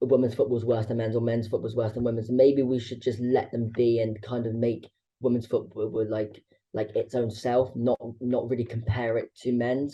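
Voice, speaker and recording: A man's somewhat breathy, medium-pitched voice at a moderate pace, with monotone, flat intonation. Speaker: podcast host. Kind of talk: podcast interview. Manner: halting, repeated syllables.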